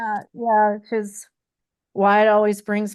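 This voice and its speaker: A woman's fairly high, plain, everyday voice at a fairly slow pace, dry and close with no echo, over a quiet background. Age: 40s. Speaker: podcast guest, daughter of fishing show host. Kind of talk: casual chat.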